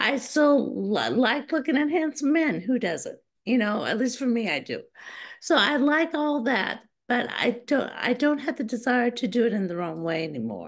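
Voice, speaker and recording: In a quiet background, a woman talks at a moderate pace. Her high-pitched voice has lively intonation. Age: 60s. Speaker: guest. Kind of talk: interview. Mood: earnest personal testimony. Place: home room. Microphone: video call.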